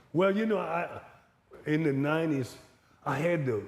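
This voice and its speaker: This man's voice sits high in pitch. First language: Louisiana Creole. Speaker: retired college baseball coach. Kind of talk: interview conversation.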